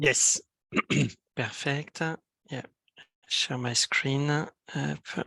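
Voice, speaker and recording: A man's fairly high, bright, sharp voice at a very slow pace, with flat, monotone intonation, long, frequent pauses and a dry, close sound with no echo. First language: French. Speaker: solutions architect. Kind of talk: technical presentation. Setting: video call. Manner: hesitant, many fillers.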